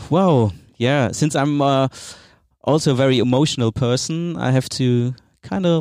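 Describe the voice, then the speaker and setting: A man at a medium pitch with a German accent, in a dry, close sound with no echo and a very clean recording over a silent background. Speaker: podcast host. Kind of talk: interview.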